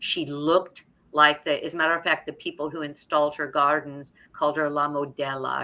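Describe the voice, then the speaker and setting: Her tone is bright and sharp, with a very deep, low pitch for a woman. The woman moves at a fairly quick pace. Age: 70s. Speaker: author and health cooking teacher. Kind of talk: live stream interview. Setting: live stream.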